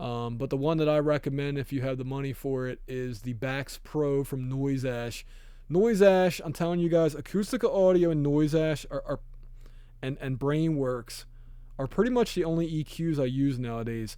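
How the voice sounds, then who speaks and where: A man's fairly high-pitched voice at a moderate pace with a dark, mellow tone and ordinary pitch variation. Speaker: audio engineer tutorial youtuber. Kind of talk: tutorial. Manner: hesitant, many ums and likes; casual, unscripted.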